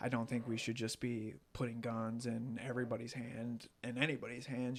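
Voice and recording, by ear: A man speaks at a moderate pace in a medium pitch, his slightly mellow tone showing little pitch movement.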